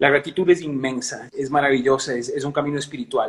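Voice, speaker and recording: A man speaks in an unremarkable speaking voice, fairly high-pitched, with fairly even intonation. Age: 60s. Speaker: singer and musician. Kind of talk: interview.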